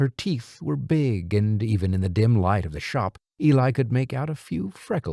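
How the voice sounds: Lively intonation in a natural reading voice, set against a quiet background.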